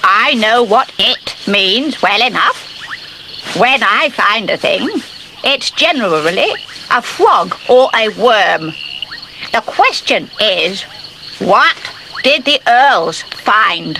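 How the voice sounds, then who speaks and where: In a put-on character voice with a fairly high pitch, the speaker goes at a very slow pace against clear background noise. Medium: short film. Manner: prim, easily offended.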